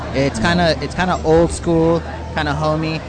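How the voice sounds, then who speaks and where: A man talks in an American accent. Noticeable background noise and audible room echo are present. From San Diego, California. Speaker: podcast host. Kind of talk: casual chat. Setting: brewery taproom event.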